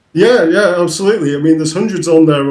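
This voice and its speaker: In a northern English accent, a man with a dark, mellow tone speaks with ordinary pitch variation amid audible room echo. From northern England. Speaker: website founder. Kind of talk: interview. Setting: call from England. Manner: hesitant, many fillers.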